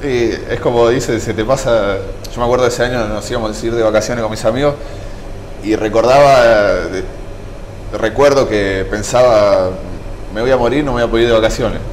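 This speaker has a Rioplatense accent and fairly even intonation, talking at a fairly quick pace with long, frequent pauses. Room echo is audible, and background noise is noticeable. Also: man, medium pitch for a man. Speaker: survivor of a nightclub fire. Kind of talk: testimony.

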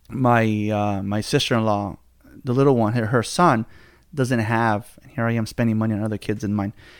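With an American accent, a man speaks in an ordinary speaking voice at medium pitch and a moderate pace, his intonation fairly even but his loudness swinging widely, on a very clean recording with a silent background. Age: 30s. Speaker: podcast host. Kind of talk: casual chat.

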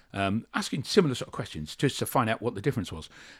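On a very clean recording with a silent background, a man with a fairly low pitch talks at a very fast pace with lively intonation. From England, military family, moved around. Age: 60s. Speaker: army veteran and university lecturer. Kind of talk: interview.

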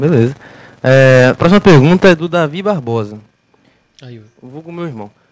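A man's lively intonation, with big swings in loudness and long, frequent pauses. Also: fairly high pitch for a man, moderate pace. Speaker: production assistant reading viewer questions. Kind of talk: casual chat.

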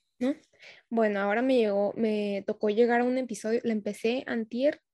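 A normal speaking voice moves at a fairly quick pace with ordinary pitch variation, the sound dry and close with no echo against a quiet background. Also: woman. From Tijuana, Mexico. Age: 20s. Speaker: medical student and skincare entrepreneur. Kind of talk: casual chat.

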